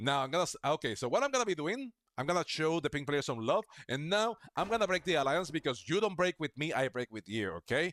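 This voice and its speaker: A man's fairly high voice with a non-native accent, very fast pace and very wide pitch swings, dry and close with no echo, in a very clean recording with a silent background. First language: not English. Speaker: gaming streamer. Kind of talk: live gameplay commentary. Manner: casual, chatty.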